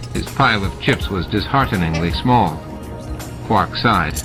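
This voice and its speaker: Music in the background behind a male speaker at a moderate pace. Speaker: audiobook narrator. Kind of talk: audiobook narration.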